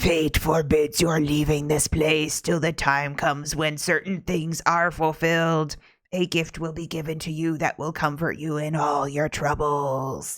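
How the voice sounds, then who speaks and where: In a put-on character voice, raspy and middle-pitched, the speaker delivers a solemn, monotone line with flat intonation and hardly any pauses. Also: moderate pace. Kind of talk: fortune-like, formal. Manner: mysterious, solemn.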